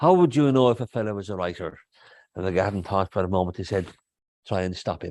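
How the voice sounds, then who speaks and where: A man speaks in a Kerry accent. The sound is dry and close with no echo, over a quiet background. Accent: Kerry Irish. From Ireland, North Kerry. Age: 60s. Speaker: poet. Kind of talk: interview conversation. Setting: stage with audience.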